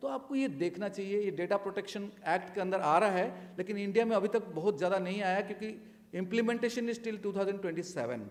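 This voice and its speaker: Over noticeable background noise, a man speaks at a high pitch and a moderate pace with ordinary pitch variation. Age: 60s. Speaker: retired air force officer, panelist. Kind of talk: panel talk.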